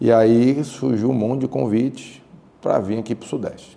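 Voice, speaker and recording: A man's fairly low voice carries a dark, mellow tone and vocal fry, moving at a moderate pace. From Pernambuco, Brazil. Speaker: business executive and chemical engineer. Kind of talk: podcast interview. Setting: studio in a historic house.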